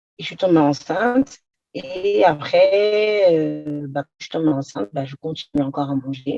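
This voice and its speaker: Recorded with a dry, close sound and no echo, a woman's voice carries a dark, mellow tone. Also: big swings in loudness. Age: 30s. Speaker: patient giving testimonial. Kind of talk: testimony.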